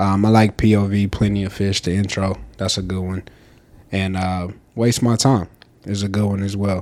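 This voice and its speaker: Fairly low in pitch, a man speaks at a moderate pace. His intonation is monotone and flat. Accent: Southern US. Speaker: podcast co-host. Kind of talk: casual chat.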